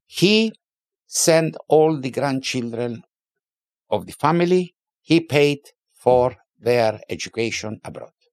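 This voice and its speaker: At a very slow pace with long, frequent pauses, a man with a fairly high pitch speaks with lively intonation and big swings in loudness, the sound dry and close with no echo. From Limassol, Cyprus. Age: 70s. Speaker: businessman and car museum founder. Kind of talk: casual interview, storytelling.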